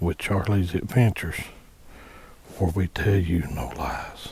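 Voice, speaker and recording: A man's quiet, somewhat breathy voice with a dark, mellow tone, fairly even intonation and a fairly slow pace. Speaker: hunting channel host. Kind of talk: product unboxing tutorial. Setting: outdoors at a hunting ladder stand. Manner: quiet low talking.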